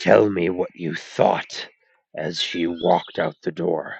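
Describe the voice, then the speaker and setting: Using a put-on character voice, a man talks at a fairly slow pace with a raspy, very deep, low pitch. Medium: read story. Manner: flat, without sorrow or relish.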